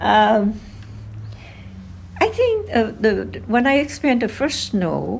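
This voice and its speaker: A woman speaks at a very slow pace with long, frequent pauses and very even loudness, audible room echo around her voice. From Vietnam, Hanoi. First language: Vietnamese. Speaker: oral history interviewee, grandmother. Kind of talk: interview. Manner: hesitant, many fillers.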